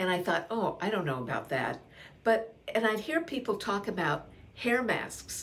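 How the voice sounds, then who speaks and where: A woman with vocal fry speaks at a fairly high pitch, her pitch swinging very widely, with audible room echo. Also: moderate pace. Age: 80s+. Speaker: beauty vlogger for older women. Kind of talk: casual talk to camera. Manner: chatty, with hesitations and self-corrections.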